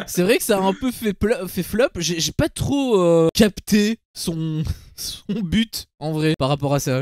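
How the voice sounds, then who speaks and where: This man's voice sits high for a man, with ordinary pitch variation and a dry, close sound with no echo. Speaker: streamer, reality TV commentator. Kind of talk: casual chat on livestream. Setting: livestream with chat.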